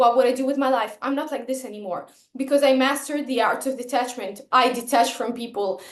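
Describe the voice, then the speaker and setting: With a non-native accent, a woman talks at a moderate pace in a high pitch with ordinary pitch variation. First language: not English. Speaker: vlogger. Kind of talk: personal vlog monologue. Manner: halting, with self-corrections and fillers.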